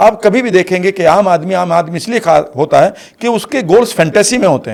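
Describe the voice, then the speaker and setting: A man at a high pitch, with ordinary pitch variation and a moderate pace. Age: 60s. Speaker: life coach. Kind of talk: interview. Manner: energetic.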